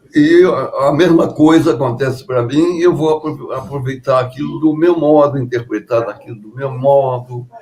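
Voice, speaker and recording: The speech runs with hardly any pauses and big swings in loudness. Pitch varies in an ordinary way over noticeable background noise. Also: man, fairly high pitch for a man, moderate pace. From Brazil, Juiz de Fora (Minas Gerais). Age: 90s. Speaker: composer and pianist. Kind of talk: interview. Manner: halting.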